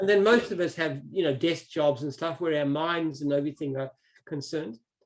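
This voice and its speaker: A man with an Australian accent speaks at a fairly quick pace. His pitch is fairly high, with ordinary pitch variation. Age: 60s. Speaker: business founder. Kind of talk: interview.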